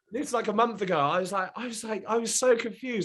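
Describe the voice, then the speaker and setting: Animated in tone, a man with a British accent speaks at a very fast pace. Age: 20s. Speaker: reality TV contestant and mental health advocate. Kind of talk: casual podcast chat. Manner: animated, fast.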